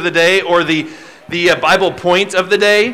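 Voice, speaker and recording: At a fairly slow pace, a man speaks in a raised, projected voice. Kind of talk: instructions to children's audience. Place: stage.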